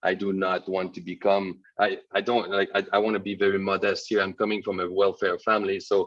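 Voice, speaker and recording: Speaking with a French Canadian accent, a man talks at a moderate pace with a fairly low pitch. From Quebec, north shore (Sept-Îles). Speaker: entrepreneur, webinar guest. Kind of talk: interview. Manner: hesitant, many fillers.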